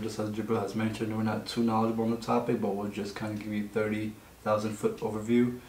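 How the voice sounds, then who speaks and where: A man talks at a very fast pace in a monotone, flat intonation. Audible room echo and light background noise surround him. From Egypt (Nubian family, southern Egypt). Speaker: podcast co-host. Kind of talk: casual chat. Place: meeting room.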